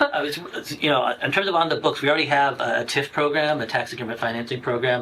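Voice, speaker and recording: A man speaks at a very fast pace. Behind him, background noise is noticeable. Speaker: assistant town manager and economic development director. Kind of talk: public committee meeting presentation. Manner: halting, many fillers and restarts.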